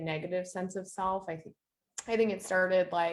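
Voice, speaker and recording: A woman speaks in a plain, everyday voice with fairly even intonation. Her pitch is fairly low. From eastern Canada. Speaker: minister and former social worker. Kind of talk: podcast interview, personal testimony.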